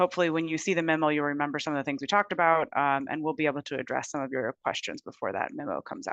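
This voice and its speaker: A woman speaks very fast in a very deep, low voice with ordinary pitch variation. The background is quiet. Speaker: transportation safety consultant presenting to committee. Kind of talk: meeting presentation. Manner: frequent fillers and self-corrections.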